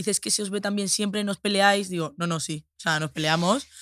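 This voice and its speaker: A woman speaks at a fairly quick pace, at a medium pitch with ordinary variation. The recording is very clean and dry, close-miked with no echo and a silent background. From Spain, Andalusia (Seville). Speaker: influencer. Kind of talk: casual chat.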